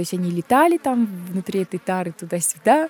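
In a dry, close recording with no echo, a woman's voice has a dark, mellow tone. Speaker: journalist and artist. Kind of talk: interview storytelling. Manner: animated.

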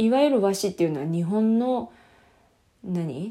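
A woman's voice has a dark, mellow tone. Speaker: podcast co-host. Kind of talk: casual solo talk. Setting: recording in a washroom at home. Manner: soft, listless, not crisp. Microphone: echoey room sound.

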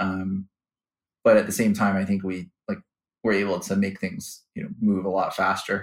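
This man speaks at a moderate pace in a Chicago accent. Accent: Chicago-area American. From US Midwest, Chicago suburbs. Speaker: finance executive. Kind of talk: interview. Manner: hesitant, many fillers and repeats.

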